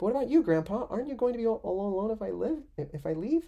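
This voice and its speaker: This is a put-on character voice with a fairly high pitch. It moves at a very fast pace. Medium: game stream. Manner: fast, flustered.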